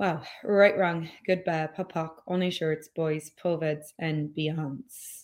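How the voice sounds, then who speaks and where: A woman with an Irish accent speaks at a very slow pace with hardly any pauses. Her pitch is fairly low and her intonation fairly even. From Ireland. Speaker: podcast host and business coach. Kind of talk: solo podcast talk, live stream. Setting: live stream on social media.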